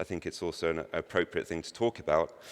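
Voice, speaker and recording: A man with a British accent talks at a very fast pace. The recording is very clean, with a silent background. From Britain. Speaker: conference speaker. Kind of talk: conference presentation. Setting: stage with audience.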